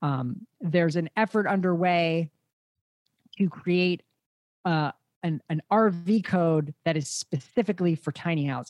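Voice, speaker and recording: Speaking in an unremarkable speaking voice, a man with a fairly high pitch talks at a fairly slow pace with fairly even intonation, the sound dry and close with no echo. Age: 30s. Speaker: podcast host, tiny house expert. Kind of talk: interview conversation.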